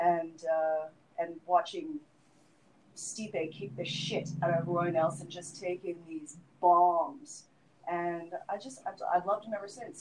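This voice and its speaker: A woman's normal speaking voice, fairly low in pitch, at a fairly slow pace. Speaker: MMA podcast co-host. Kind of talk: casual chat.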